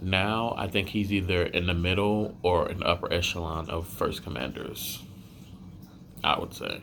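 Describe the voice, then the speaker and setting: Quiet and very deep, a man's voice moves at a moderate pace with fairly even intonation while audible echo fills the room. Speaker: anime and manga reviewer. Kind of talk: casual video review. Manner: casual, filler-heavy.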